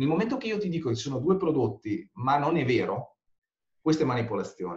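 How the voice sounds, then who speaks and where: Somewhat breathy, a man's fairly high voice swings very widely in pitch. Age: 40s. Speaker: conversion rate optimization consultant. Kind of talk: interview.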